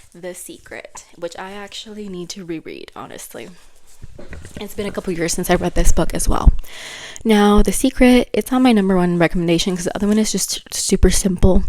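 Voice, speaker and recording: A woman's medium-pitched voice with a non-native accent, a fairly quick pace, ordinary pitch variation and big swings in loudness. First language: not English. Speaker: book vlogger. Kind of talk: casual vlog talk. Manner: animated.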